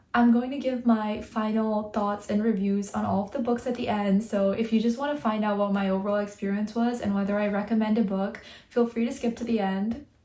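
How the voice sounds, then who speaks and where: A woman's fairly high voice, fairly quick with hardly any pauses, in a monotone, flat delivery over noticeable background noise. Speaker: book vlogger. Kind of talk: casual vlog talk. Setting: at home at night.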